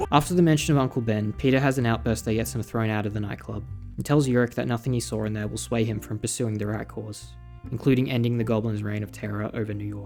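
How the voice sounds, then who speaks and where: Over music in the background, a man rushes along at a very fast pace in a fairly low pitch. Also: lively intonation. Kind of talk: comic recap commentary. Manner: casual, irreverent.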